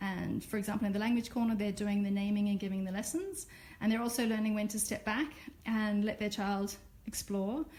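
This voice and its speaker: Speaking at a fairly quick pace with an Australian accent, a woman uses a fairly high pitch, a somewhat breathy voice and fairly even intonation, and some room echo can be heard. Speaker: Montessori teacher. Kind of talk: live-stream classroom tour. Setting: classroom, Facebook live video. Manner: casual, with filler words.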